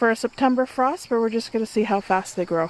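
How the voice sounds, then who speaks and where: A woman speaks with ordinary pitch variation in a dry sound with no echo. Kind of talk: casual garden tour vlog. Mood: pleased, gentle. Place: garden. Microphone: phone near.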